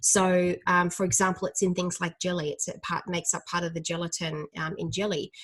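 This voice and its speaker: A woman at medium pitch against a quiet background. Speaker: dietitian. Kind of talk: educational talk. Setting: live stream. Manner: fast; hesitant, many fillers.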